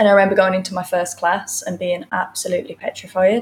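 Her voice is somewhat breathy as this woman talks at a medium pitch. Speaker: yoga teacher. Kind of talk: casual live interview. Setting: live studio.

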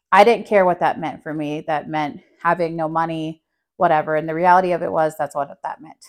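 A woman with an American accent uses an unremarkable speaking voice at a fairly low pitch and a fairly quick pace, her pitch varying in an ordinary way and her loudness swinging widely against a quiet background. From New Mexico, US. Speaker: mother and studio co-founder. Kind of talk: casual chat.

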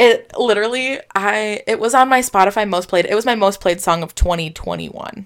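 A woman with a plain, everyday voice, fairly high in pitch, at a moderate pace, with ordinary pitch variation and hardly any pauses. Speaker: podcast co-host. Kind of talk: casual chat. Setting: video call.

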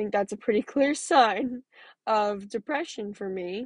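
Fairly slow speech against a quiet background, the sound dry and close with no echo. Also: woman. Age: 20s. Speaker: podcast host sharing mental health story. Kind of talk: personal monologue.

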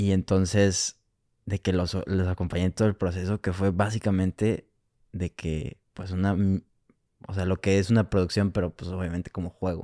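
With a very deep, low pitch and a dark, mellow tone, a man speaks at a moderate pace in a monotone, flat intonation, leaving long, frequent pauses, in a very clean recording with a silent background and a dry, close sound with no echo. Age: 20s. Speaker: film student. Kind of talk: casual chat.

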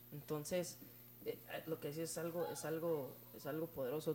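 This voice comes across as somewhat breathy. Its tone is dark and mellow. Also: man. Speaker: youth church leader. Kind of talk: casual chat. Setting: at home.

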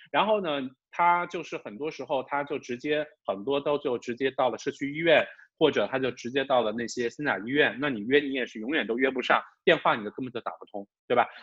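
A plain, everyday voice: a man with a fairly high pitch talks fairly quickly, his pitch varying in an ordinary way. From China, Wuhan. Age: middle-aged. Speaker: podcast co-host. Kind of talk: casual chat.

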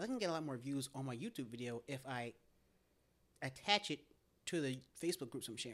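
Talking at a very fast pace yet with long, frequent pauses, a man with an American accent uses a medium pitch and ordinary pitch variation. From US South, Tennessee (outskirts of Nashville). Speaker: podcaster. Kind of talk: casual chat.

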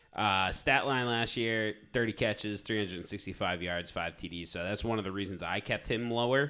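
The recording is very clean, with a silent background. A man with a fairly low pitch and a bright, sharp tone talks with ordinary pitch variation and hardly any pauses. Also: moderate pace. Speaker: fantasy football podcast host. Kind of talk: casual banter about fantasy football.

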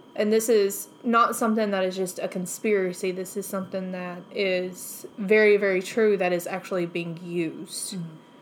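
This woman speaks at a moderate pace with hardly any pauses and fairly even intonation. She has a medium pitch and an ordinary speaking voice. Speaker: podcast co-host. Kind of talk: casual chat.

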